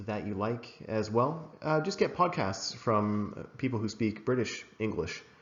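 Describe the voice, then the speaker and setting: Speaking at a fairly slow pace in an American accent, a man with a plain, everyday voice uses lively intonation. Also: hardly any pauses. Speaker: English exam teacher. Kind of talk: recorded lesson. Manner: casual, many fillers (uh, um).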